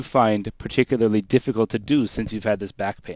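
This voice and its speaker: The speaker is a man. He keeps up a fairly quick pace. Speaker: registered massage therapist. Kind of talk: radio call-in advice. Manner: speaks louder for caller.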